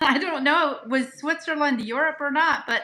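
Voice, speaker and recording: Her voice raised and projected, a woman talks at a moderate pace in a high pitch with ordinary pitch variation. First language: Pennsylvania Dutch. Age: 60s. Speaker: host's mother. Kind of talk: live stream chat.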